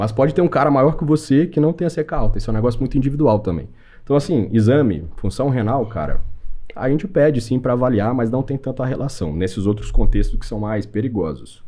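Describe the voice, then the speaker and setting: A man talks at a fairly quick pace with lively intonation, a dark, mellow tone, and some vocal fry. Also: medium pitch for a man. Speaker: medical doctor. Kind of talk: podcast interview. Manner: fast; casual.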